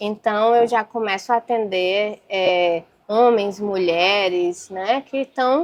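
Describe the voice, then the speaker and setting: A woman with a northern Brazilian accent speaks at a very slow pace. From Brazil, Acre (North). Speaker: physician. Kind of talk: casual interview.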